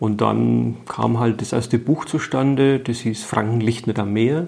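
A man talks in an ordinary speaking voice with ordinary pitch variation. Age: 50s. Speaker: writer and former teacher. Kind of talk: interview.

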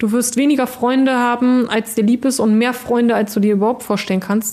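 A woman's dark, mellow tone at a high pitch, with a fairly quick pace, fairly even intonation and very even loudness. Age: 30s. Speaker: acid attack survivor and beautician. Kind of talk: interview. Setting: in person. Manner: frequent hesitations (ähm, äh).

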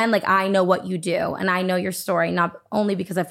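A woman's medium-pitched voice with vocal fry, very cleanly recorded against a silent background. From New England, Nashua, New Hampshire. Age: 20s. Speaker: brand consultant and content creator. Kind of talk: casual interview chat.

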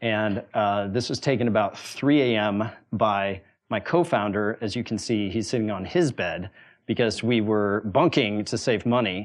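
With a normal speaking voice, a man with an American accent talks at a moderate pace, his fairly low pitch varying in an ordinary way. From US, Wyoming small town. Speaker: venture capitalist and former startup founder. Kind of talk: talk to a university audience.

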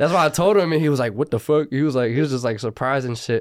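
Recorded very cleanly against a silent background, a man with an American accent speaks with ordinary pitch variation. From Los Angeles, San Fernando Valley (Burbank, Northridge). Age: 20s. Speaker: rapper. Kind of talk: casual interview.

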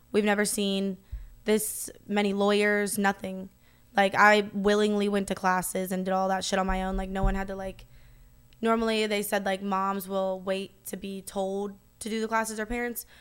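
Speaking in an American accent, a woman keeps a medium pitch and a moderate pace. Her intonation is monotone and flat. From US South. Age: 20s. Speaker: adult content creator. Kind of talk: casual chat.

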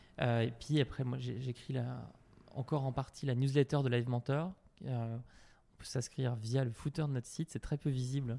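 A medium-pitched man's voice, dark and mellow in tone, fairly even in intonation, at a moderate pace. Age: 30s. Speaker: CEO of an online training company for entrepreneurs. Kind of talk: casual interview answering listener questions. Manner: halting with frequent repetitions.

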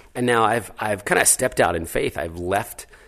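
A man with an American accent talks in an ordinary speaking voice at a fairly low pitch and a moderate pace. His intonation is lively, and the background is quiet. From New Jersey. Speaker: charity founder. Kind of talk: interview.

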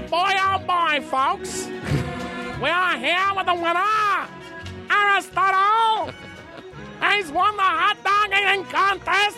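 A nasal, put-on character voice with an extremely high pitch moves at a fairly slow pace. Clear music plays in the background. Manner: exaggerated, comedic.

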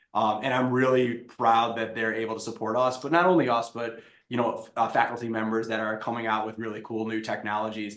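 A man's medium-pitched voice with monotone, flat intonation, a fairly quick pace, hardly any pauses, and audible room echo. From Wisconsin. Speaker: tech startup founder. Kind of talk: interview.

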